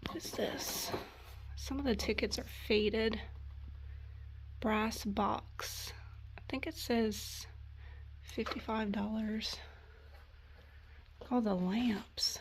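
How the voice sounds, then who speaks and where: A woman speaking at a very slow pace with long, frequent pauses and audible room echo. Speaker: thrift vlogger. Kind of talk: casual vlog narration. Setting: estate sale. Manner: whispering at times.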